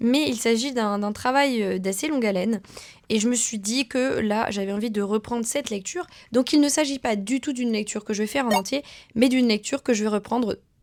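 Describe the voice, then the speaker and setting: Her pitch is fairly high, with ordinary variation. The woman speaks at a fairly quick pace. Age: 20s. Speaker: vlogger. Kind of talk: casual vlog talk to camera. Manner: fast.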